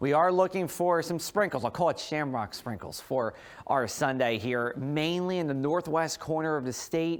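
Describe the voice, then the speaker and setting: Speaking at a moderate pace with an American accent, a man has a plain, everyday voice, fairly high in pitch with ordinary pitch variation. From New Jersey. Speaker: TV meteorologist. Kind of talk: weather forecast.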